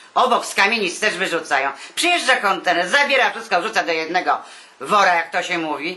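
A woman at a medium pitch, very fast pace and lively intonation, with noticeable background noise. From Warsaw, Poland. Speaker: retired artist. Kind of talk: interview answer.

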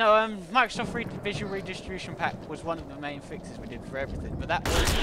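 Noticeable background noise is present throughout. The words come at a very fast pace. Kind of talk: gameplay commentary.

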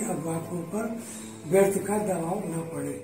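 A man's high-pitched voice at a very slow pace, with noticeable background noise and audible room echo. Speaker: grandfather being interviewed. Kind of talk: interview answer. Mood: calm, reflective. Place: home room. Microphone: camera far.

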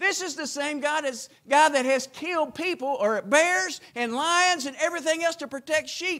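In a raised, projected voice, a man speaks at a moderate pace with an extremely high pitch and ordinary pitch variation. He leaves hardly any pauses against a quiet background. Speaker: preacher. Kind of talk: chapel sermon.

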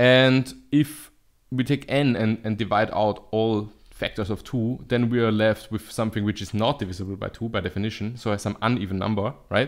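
A man in a normal speaking voice, fairly low in pitch, at a moderate pace with fairly even intonation. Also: quiet background. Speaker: math video host. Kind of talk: lecture. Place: home room. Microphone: studio mic.

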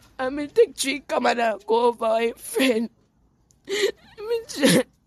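A woman with a Jamaican accent talks very slowly in a high pitch, her voice swinging very widely. The sound is dry and close, with no echo. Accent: Jamaican Patois. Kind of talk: news interview answer.

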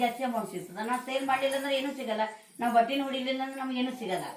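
Her high voice moves in a fairly even intonation, with audible room echo and noticeable background noise around the woman. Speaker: homemaker running a small business. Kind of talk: casual interview.

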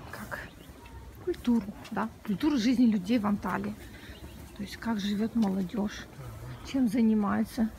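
A woman's voice with ordinary pitch variation, dry with no echo, over light background noise. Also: fairly slow pace. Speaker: travel vlogger. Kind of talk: casual vlog chat. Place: street. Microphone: phone near.

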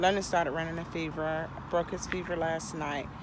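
Noticeable background noise surrounds a woman speaking at a moderate pace, the sound dry with no echo. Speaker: mother vlogger. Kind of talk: casual vlog chat. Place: street. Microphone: phone near.

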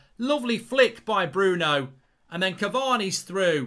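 Against a quiet background, a man projects a raised, high-pitched voice with a bright, sharp tone and very wide pitch swings. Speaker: football fan channel presenter. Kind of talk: live commentary-style reaction. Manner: excitable, loud, gushing with superlatives. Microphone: studio mic.

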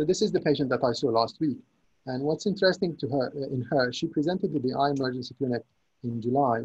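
The voice is somewhat breathy and fairly quick, with ordinary pitch variation over a quiet background. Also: man. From Syria. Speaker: consultant neuro-ophthalmologist. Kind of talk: lecture. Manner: halting, with many repetitions. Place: home room. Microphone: webcam.

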